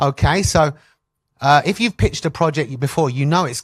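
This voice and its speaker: A man with a London accent talks at a moderate pace. His voice sounds somewhat breathy. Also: dry, close sound with no echo. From London, England. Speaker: animation pitching coach. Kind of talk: workshop talk. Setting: stage with audience. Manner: hesitant, many fillers.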